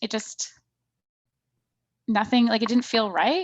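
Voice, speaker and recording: A woman talks at a fairly quick pace. Her pitch sits fairly high. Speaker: marketing copywriting coach. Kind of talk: workshop Q&A. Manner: casual.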